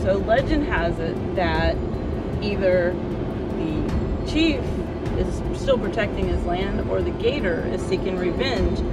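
A woman at a very slow pace, with music in the background. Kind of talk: casual vlog chat. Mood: playful, amused. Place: car. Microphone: phone near.

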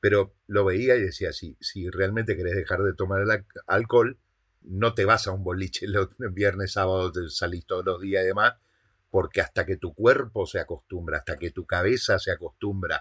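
A man talks at a moderate pace in a fairly low pitch. His pitch varies in an ordinary way over a quiet background. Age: 40s. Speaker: online business coach. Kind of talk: motivational monologue. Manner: halting, with frequent word repetitions. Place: home room.

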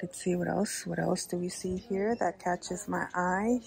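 There is a dry sound with no echo, with light background noise underneath. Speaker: shopping vlogger. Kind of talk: casual vlog chat. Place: shop. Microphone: phone near.

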